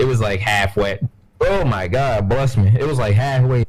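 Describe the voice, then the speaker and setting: A man speaks at a moderate pace. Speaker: gaming podcast co-host. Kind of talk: casual chat. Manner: loud.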